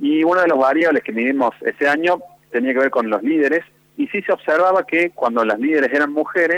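In a normal speaking voice, a man talks at a fairly quick pace and fairly high pitch, with a dry, close sound and no echo. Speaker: university research director. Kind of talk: radio phone interview. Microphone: line dropped out.

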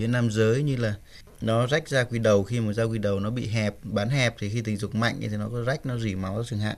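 In a normal speaking voice, a man of medium pitch talks at a fairly quick pace with fairly even intonation. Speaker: doctor. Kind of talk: radio advice call-in. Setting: studio.

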